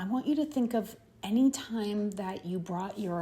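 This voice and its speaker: A woman's somewhat breathy voice, dark and mellow in tone, calm, with lively intonation. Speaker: spiritual channeler. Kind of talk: channeled spiritual message. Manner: slow.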